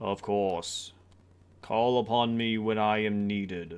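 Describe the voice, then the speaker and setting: A man's bellowing, put-on character voice, fairly low in pitch, on a very clean recording with a silent background. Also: fairly slow pace. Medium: actual play. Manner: lofty, ceremonious.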